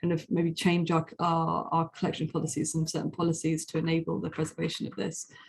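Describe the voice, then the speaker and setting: A woman's somewhat breathy, fairly low voice with monotone, flat intonation. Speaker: museum researcher. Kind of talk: conference presentation. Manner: fast; hesitant, many fillers.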